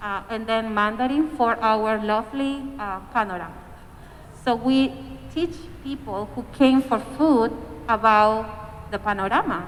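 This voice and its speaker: A woman speaks with a Spanish accent at a fairly slow pace. Her pitch is fairly high, with ordinary variation. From Peru. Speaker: community organizer. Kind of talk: panel discussion.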